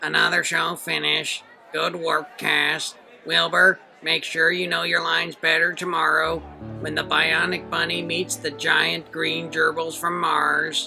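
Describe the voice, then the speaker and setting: Clear music plays in the background as a man performs a put-on character voice. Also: fairly slow pace. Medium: read story. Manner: bossy, barking orders.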